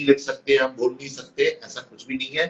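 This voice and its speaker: A man talks at a fairly quick pace. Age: 60s. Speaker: veteran journalist and author. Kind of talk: podcast interview.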